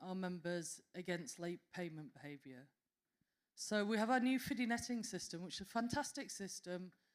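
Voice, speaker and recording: A woman speaks with a Yorkshire accent. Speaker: association representative presenting at a conference panel. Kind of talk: conference panel presentation.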